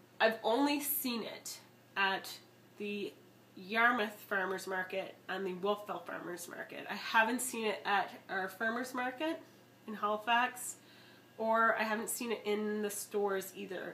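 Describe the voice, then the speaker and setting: Noticeable background noise sits behind a woman with a fairly high voice. She speaks at a fairly slow pace with ordinary pitch variation. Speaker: wine vlogger. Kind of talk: casual product review vlog. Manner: chatty, frequent um fillers.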